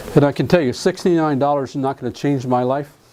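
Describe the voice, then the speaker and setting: A man with an American accent at a moderate pace and fairly high pitch, with ordinary pitch variation and noticeable background noise. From US South (Alabama). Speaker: real estate contract trainer. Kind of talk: lecture.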